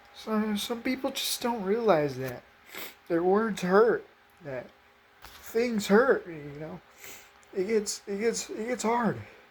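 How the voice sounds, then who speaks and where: Over noticeable background noise, a woman with a fairly high pitch talks at a very slow pace with long, frequent pauses, lively intonation and big swings in loudness. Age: 20s. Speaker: faith video creator. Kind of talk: emotional personal testimony. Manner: halting, repeated words.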